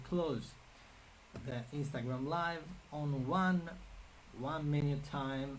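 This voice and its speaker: In a Sicilian accent, a man speaks with fairly even intonation in a fairly high, somewhat breathy voice, with audible room echo. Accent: Sicilian Italian accent in English. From Sicily, Italy. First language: Italian. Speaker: artist and art career coach. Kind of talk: live stream Q&A. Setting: Instagram and Facebook live stream. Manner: halting, many fillers and repetitions.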